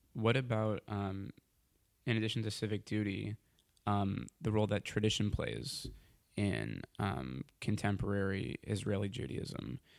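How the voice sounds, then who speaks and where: Close and dry with no echo, a man with an American accent speaks at a fairly slow pace in a fairly low pitch with lively intonation. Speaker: podcast host. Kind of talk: interview conversation. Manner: hesitant, many fillers.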